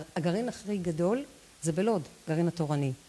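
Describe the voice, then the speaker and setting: Her voice has a dark, mellow tone and sounds somewhat breathy. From Israel, Lod. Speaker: real estate agent. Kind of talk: interview. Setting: live stream.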